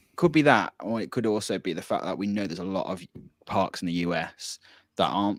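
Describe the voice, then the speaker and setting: Recorded very cleanly against silence, a man talks with a Birmingham accent. His voice is fairly low and the sound dry and close with no echo. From Birmingham, England. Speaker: podcast co-host. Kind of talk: casual chat. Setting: live-streamed podcast.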